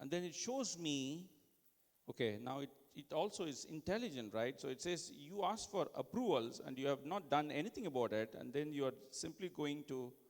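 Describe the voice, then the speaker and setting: A man with an Indian accent speaks at a moderate pace, his fairly high voice carrying lively intonation. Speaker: conference speaker giving tech demo. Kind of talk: live product demo presentation.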